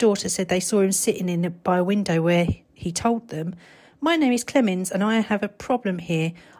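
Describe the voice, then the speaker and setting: A woman with a British accent speaks at a moderate pace with lively intonation, in a very clean recording against a silent background. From Britain. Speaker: podcaster. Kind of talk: reading aloud ghost stories from a book, chatty asides between passages. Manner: casual and rambling, stumbles over words, laughs at herself.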